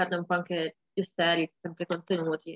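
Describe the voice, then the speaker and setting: A woman at a moderate pace, dry sound with no echo, quiet background. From Turin, Italy. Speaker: rapper. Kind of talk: interview. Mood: relaxed, cheerful. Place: home room. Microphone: webcam.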